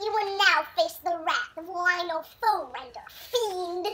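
With a put-on character voice pitched extremely high, a man delivers his lines in a dramatic tone at a fairly slow pace. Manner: comically exaggerated pitch, dramatic.

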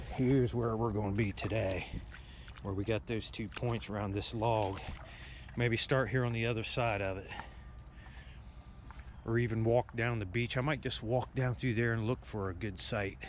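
At a moderate pace with long, frequent pauses, a man speaks with fairly even intonation, the sound dry with no echo and light background noise present. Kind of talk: casual vlog chat. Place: waterside. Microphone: phone near.

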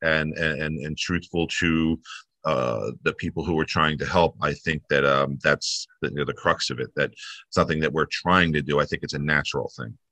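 At a moderate pace, a man with an American accent talks in a very deep, low voice that has a bright, sharp tone and vocal fry, the sound dry with no echo against a quiet background. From New Jersey. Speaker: newspaper staff member. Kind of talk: interview. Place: home room. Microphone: video call.

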